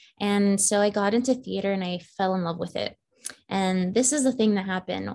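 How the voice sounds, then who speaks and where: Here a woman talks at a fairly quick pace with an American accent. Her pitch is medium, with ordinary variation. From Northern Virginia, US. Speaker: film writer and director. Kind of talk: casual interview chat. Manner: animated.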